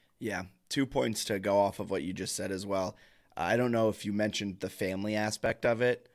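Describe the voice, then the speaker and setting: There is an ordinary speaking voice from a man who talks at a fairly quick pace with a fairly low pitch and ordinary pitch variation, in a very clean recording with a silent background. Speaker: sports podcast host. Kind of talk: casual chat. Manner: casual, chatty.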